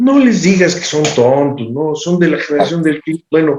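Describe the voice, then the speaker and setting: A man speaks at a moderate pace with ordinary pitch variation. He has an ordinary speaking voice. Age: 60s. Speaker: political commentator. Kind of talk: panel discussion.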